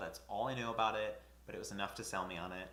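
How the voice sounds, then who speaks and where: Noticeable background noise sits behind a man's voice. Audible room echo is also present. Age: 20s. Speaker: booktuber. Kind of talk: casual vlog talk to camera.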